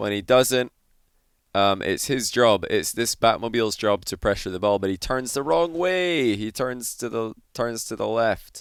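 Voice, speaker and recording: A man with a Scottish accent speaks at a medium pitch in a very clean recording with a silent background. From Scotland. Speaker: gaming commentator. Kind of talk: replay analysis commentary. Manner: animated.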